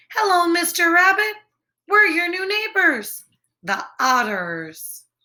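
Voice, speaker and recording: A squeaky, put-on character voice with a cheerful tone and lively intonation. It moves at a fairly slow pace. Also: woman, extremely high pitch for a woman. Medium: read story. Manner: cheerful, friendly.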